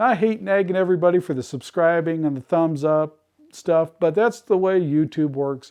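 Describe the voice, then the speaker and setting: A man with an unremarkable speaking voice talks fairly quickly, his pitch varying in an ordinary way. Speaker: ham radio homesteading YouTuber. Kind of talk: tutorial. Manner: casual, with filler words.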